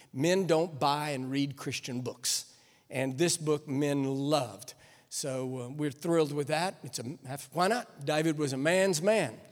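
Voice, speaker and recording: In an American accent, a man speaks in an ordinary speaking voice with ordinary pitch variation. His pitch is fairly high and his pace fairly slow. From Texas. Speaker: guest preacher and author. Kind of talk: sermon. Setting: church with live congregation.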